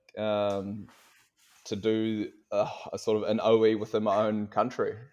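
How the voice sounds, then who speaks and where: This is a man with a New Zealand accent. His pitch is fairly low. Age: 20s. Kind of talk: casual chat. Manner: halting.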